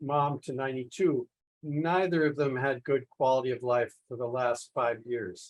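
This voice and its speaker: With an American accent, a man uses an ordinary speaking voice, fairly high in pitch, at a moderate pace. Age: 60s. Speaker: polymath, environmental scientist. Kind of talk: podcast interview.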